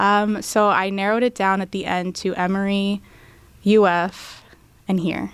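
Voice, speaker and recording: A woman's medium-pitched voice in an American accent, with monotone, flat intonation at a fairly slow pace. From US, Tampa, Florida. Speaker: law student. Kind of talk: interview.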